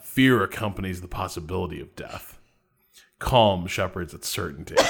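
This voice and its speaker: Putting on a character voice, a man rumbles at a very deep, low pitch and a moderate pace. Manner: calm, solemn.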